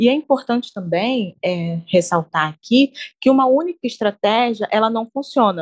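Heard dry and close with no echo, a woman in an ordinary speaking voice talks at a moderate pace with a fairly high pitch and lively intonation. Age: 20s. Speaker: pedagogy student, podcast co-host. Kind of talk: semi-scripted educational podcast discussion.

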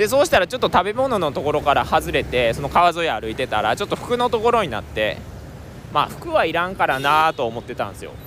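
A man talks at a very fast pace in a high pitch. His voice moves through very wide pitch swings. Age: 20s. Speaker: travel podcaster. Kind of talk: casual monologue. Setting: outdoors.

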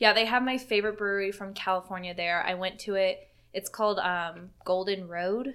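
A woman speaks in a plain, everyday voice at a medium pitch, with fairly even intonation. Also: moderate pace. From US East Coast. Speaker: podcast co-host. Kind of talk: casual chat. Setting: sitting at a table. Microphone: laptop recording.

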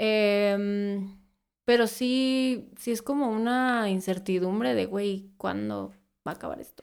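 Over a very clean recording with a silent background, a woman with a Mexican accent speaks very slowly at a medium pitch with ordinary pitch variation. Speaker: beauty content creator. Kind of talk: casual interview.

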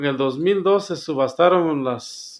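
This man's voice sits fairly high in pitch. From Guatemala, Sacatepéquez. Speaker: community radio founder, farmer. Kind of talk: interview testimony. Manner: slow.

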